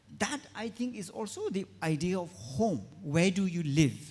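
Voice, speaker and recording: A man speaks with a Tibetan accent. His intonation is lively. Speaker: writer and activist. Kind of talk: panel discussion.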